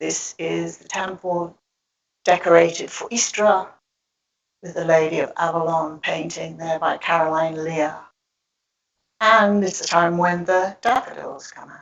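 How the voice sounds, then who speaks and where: Pitched fairly low, a woman speaks at a fairly slow pace with long, frequent pauses. Her intonation is fairly even, while her loudness swings widely. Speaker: public speaker on goddess spirituality. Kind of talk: talk with slides to an audience.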